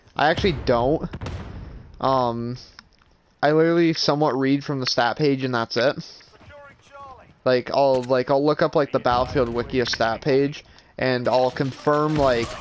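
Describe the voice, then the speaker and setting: A man with a medium-pitched voice speaks at a moderate pace with fairly even intonation, leaving long, frequent pauses. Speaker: gaming streamer and reviewer. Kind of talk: live gameplay stream chat. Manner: monotone.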